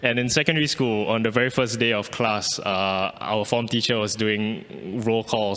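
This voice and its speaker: This speaker has a Malaysian accent, fairly even intonation, and a moderate pace. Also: man. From Singapore. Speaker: artist. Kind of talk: artist talk. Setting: pre-recorded video. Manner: halting, with repetitions.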